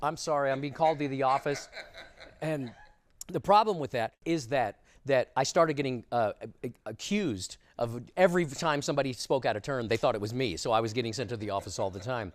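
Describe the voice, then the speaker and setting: A man with an unremarkable speaking voice talks at a fairly quick pace, his pitch medium and his intonation lively. The recording is very clean, with a silent background. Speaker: ventriloquist. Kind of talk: interview answer.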